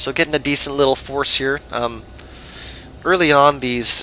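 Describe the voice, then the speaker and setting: Fairly even intonation at a fairly quick pace, with noticeable background noise. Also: man. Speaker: game shoutcaster. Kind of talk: live game commentary. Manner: hesitant, many fillers (um, uh).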